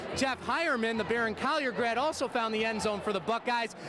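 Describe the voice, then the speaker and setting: A man speaks at an extremely high pitch over noticeable background noise. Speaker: sports anchor and reporter. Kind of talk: TV sports broadcast reporting. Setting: live on-location reporting and interviews.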